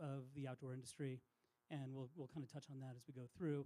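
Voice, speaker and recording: The man is soft-spoken, his pitch fairly high. His tone comes across dark and mellow. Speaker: outdoor industry insider. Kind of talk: public talk.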